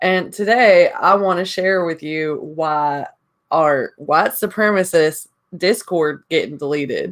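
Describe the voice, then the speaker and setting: A woman is speaking. She has a Southern US accent. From Indiana. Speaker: YouTuber. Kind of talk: casual vlog monologue.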